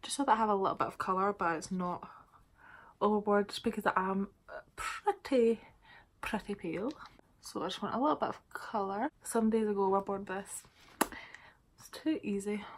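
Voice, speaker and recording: A fairly quick pace in a Scottish accent, with long, frequent pauses, ordinary pitch variation and big swings in loudness. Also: woman, medium pitch for a woman. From Scotland. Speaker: beauty vlogger. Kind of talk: casual makeup tutorial to camera. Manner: casual, chatty.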